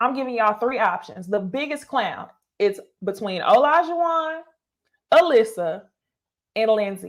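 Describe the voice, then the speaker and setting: Animated and fairly high-pitched, a woman speaks at a moderate pace with very wide pitch swings and long, frequent pauses. The recording is very clean, with a silent background. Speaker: YouTuber reviewing reality TV. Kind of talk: live stream commentary with chat.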